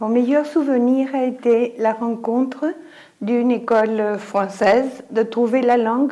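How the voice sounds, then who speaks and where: The woman's high voice stays fairly even in intonation as she talks at a very slow pace. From Mexico City. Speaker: educator. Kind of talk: interview testimony.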